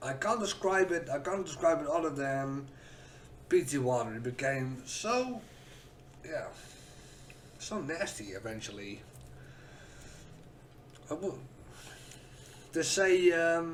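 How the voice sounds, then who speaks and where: A man with a fairly high pitch, very wide pitch swings, a very slow pace, and long, frequent pauses, over noticeable background noise. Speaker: whisky reviewer, content creator. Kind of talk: casual review talk to camera. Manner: hesitant, stuttery.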